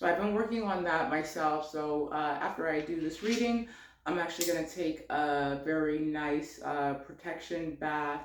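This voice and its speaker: A woman with a very deep, low pitch speaks at a moderate pace with ordinary pitch variation and very even loudness. Audible room echo and noticeable background noise are present. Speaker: tarot reader. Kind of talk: spiritual card reading. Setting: home office. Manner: many filler words, um and uh.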